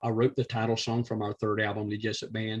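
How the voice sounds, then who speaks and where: A man speaks with a Georgia accent. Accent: southern US (Georgia). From US South, south Georgia. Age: 60s. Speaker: musician, retired teacher. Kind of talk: casual interview chat.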